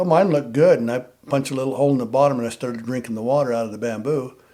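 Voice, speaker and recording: A man with an American accent talks at a very fast pace and medium pitch, his intonation fairly even. Noticeable background noise runs beneath him. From Nevada. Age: 70s. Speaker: war veteran and bowhunter. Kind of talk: casual chat.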